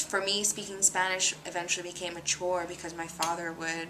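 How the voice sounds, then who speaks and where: A woman's fairly low voice over noticeable background noise. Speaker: interviewee in documentary. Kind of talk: personal testimony interview. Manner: hesitant, many fillers.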